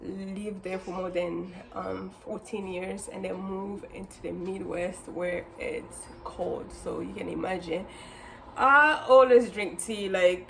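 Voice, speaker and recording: A woman with a Congolese accent at a very slow pace, big swings in loudness, audible room echo and noticeable background noise. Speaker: lifestyle and cooking vlogger. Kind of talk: casual vlog tutorial. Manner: hesitant, many fillers.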